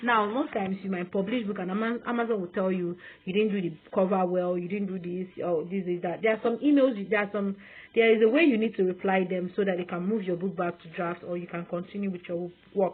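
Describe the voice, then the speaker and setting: The speaker has a Nigerian accent. The delivery moves at a fairly quick pace. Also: woman, medium pitch for a woman, fairly even intonation. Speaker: online sales coach. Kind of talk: sales pitch. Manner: fast.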